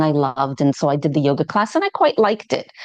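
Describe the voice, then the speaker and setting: Against a quiet background, someone talks at a fairly quick pace with a New York accent. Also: woman. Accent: American (New York). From New York City. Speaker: yoga teacher. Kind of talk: podcast interview.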